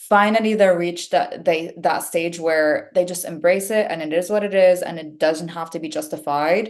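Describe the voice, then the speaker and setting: A woman's fairly low voice with a non-native accent, ordinary pitch variation, big swings in loudness, a moderate pace and hardly any pauses. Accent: foreign accent, noticeable. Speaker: actress. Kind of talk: casual chat. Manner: fluent.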